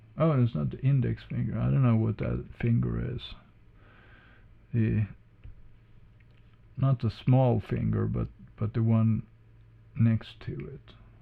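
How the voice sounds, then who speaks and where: A man with a non-native accent speaks with long, frequent pauses. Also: fairly slow pace. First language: not English. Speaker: drawing tutorial creator. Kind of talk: tutorial. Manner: halting.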